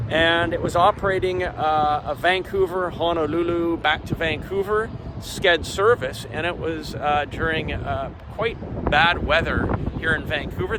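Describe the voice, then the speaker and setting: Against noticeable background noise, a man with a Canadian accent talks at a moderate pace, his high pitch showing ordinary variation. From Canada. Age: 60s. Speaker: aviation vlogger. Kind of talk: on-location report. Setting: outdoors. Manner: halting.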